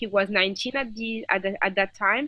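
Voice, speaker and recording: Her tone bright and sharp, a woman speaks with a French accent. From France, Paris. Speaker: activist and filmmaker. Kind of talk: interview.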